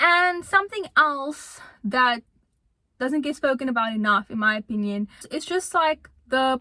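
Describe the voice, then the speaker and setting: With a raised, projected voice, a woman speaks at a high pitch in a bright, sharp tone and lively intonation, the sound dry and close with no echo. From South Africa. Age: 20s. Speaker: university student, YouTuber. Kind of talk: casual talk to camera.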